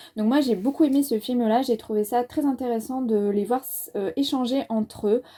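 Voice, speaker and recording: High pitch and a dark, mellow tone in a woman's voice. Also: moderate pace. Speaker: book and film youtuber. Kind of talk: casual review monologue. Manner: hesitant, many fillers.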